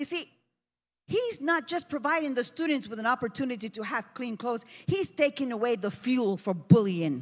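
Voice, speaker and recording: A woman with a high pitch speaks at a moderate pace, her voice swinging very widely in pitch. Her tone is animated, and the background is quiet. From New Jersey. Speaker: pastor. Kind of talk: sermon. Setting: church. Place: church. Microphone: handheld.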